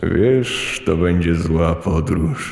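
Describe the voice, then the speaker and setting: A man puts on a character voice with a very deep, low pitch over light background noise. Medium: audio drama. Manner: flat, ominous, repetitive.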